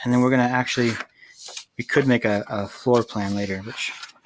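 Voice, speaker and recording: Male voice at a medium pitch, its pitch varying in an ordinary way. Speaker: high school construction teacher. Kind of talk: tutorial. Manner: fast; casual with fillers.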